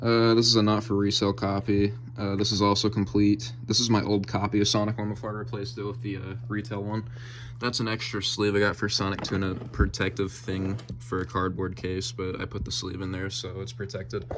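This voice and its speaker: Music plays in the background as a man talks at a fairly quick pace in a fairly low pitch with fairly even intonation. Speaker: gaming youtuber. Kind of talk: collection tour video. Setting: game room at home. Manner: fast; casual with many fillers.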